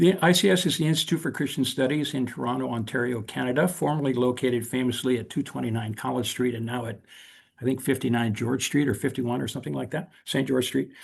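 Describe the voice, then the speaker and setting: A man with a General American accent and vocal fry, at a very fast pace. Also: medium pitch for a man, ordinary pitch variation. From South Korea (American missionary family), then US. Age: 70s. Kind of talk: invited talk on video call. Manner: halting, frequent fillers and restarts.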